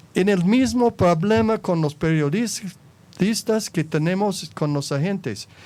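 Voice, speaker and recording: A man with an American accent talks at a very slow pace. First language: English (speaking Spanish). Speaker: former anti-drug agency director. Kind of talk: panel interview. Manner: halting, with self-corrections.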